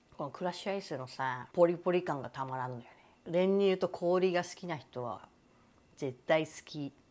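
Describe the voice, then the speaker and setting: The pace is moderate, with ordinary pitch variation. Loudness swings widely. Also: woman, fairly low pitch for a woman. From Japan. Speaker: YouTuber; lifestyle vlogger. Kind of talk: casual vlog monologue. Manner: animated, frequent laughter. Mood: relaxed, enthusiastic. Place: home room. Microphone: lapel.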